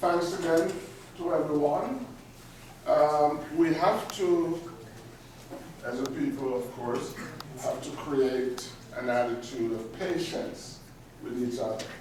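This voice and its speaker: Fairly high pitch from a man at a very slow pace, ordinary pitch variation, long, frequent pauses, audible room echo and noticeable background noise. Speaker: community speaker. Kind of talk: public address to meeting. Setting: meeting room with audience, no amplification. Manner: loud. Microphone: no microphone, unamplified.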